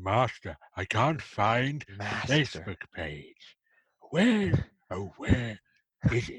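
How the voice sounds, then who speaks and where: A man puts on a raspy character voice at a medium pitch, speaking at a very slow pace with long, frequent pauses, very wide pitch swings and big jumps in loudness, all in a dry, close sound with no echo. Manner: silly, comic voice.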